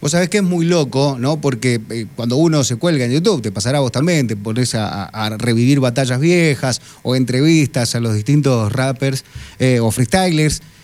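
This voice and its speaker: Here a man speaks with a medium-pitched voice. His pace is moderate and his pitch variation ordinary. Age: 40s. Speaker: radio host. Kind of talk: radio interview. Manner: halting, many repetitions and fillers.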